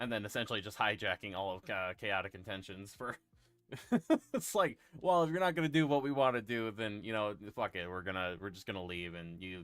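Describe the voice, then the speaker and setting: Music plays behind a man speaking at a fairly quick pace. His pitch is fairly low, with ordinary variation. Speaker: gaming streamer. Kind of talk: casual chat. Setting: live stream. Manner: halting.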